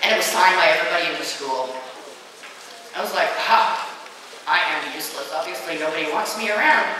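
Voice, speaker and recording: A woman talks at a very fast pace with very wide pitch swings, in strong room echo over light background noise. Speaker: motivational speaker against bullying. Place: hall.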